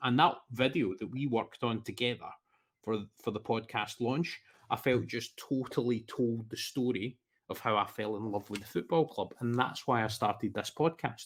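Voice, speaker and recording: In a very clean recording with a silent background, a man with a Scottish accent and a medium pitch speaks at a fairly quick pace. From Scotland. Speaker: football podcaster. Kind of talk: casual chat.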